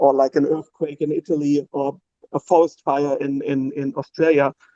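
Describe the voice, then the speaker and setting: In a non-native accent, a man speaks at a moderate pace in a dark, mellow tone with monotone, flat intonation, the sound dry and close with no echo. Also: fairly high pitch for a man. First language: not English. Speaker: stake pool operator doing charity. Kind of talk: casual chat. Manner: halting, many fillers.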